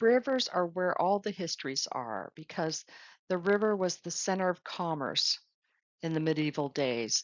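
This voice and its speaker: A woman's fairly low voice at a moderate pace, with lively intonation. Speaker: travel advisor. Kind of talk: recorded slide presentation. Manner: enthusiastic.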